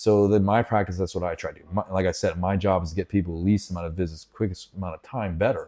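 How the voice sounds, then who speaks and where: A man's very deep, low voice with an American accent, fairly even intonation, a dark, mellow tone, big swings in loudness, a very fast pace with hardly any pauses, and a quiet background. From Pittsburgh, Pennsylvania. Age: 50s. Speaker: chiropractor. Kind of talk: casual interview. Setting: studio.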